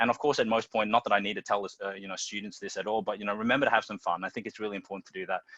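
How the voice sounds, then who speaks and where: A man with an Australian accent at a very fast pace with hardly any pauses, fairly low in pitch, bright and sharp in tone, fairly even in intonation, with big swings in loudness and a dry, close sound with no echo. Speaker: teacher and school dean of students. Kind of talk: panel presentation.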